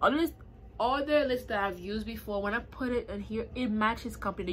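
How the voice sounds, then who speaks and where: Over light background noise, a woman with vocal fry talks at a fairly quick pace with ordinary pitch variation. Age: 20s. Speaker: beauty YouTuber. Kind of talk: casual hair review to camera. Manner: casual, chatty. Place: home room. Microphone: phone near.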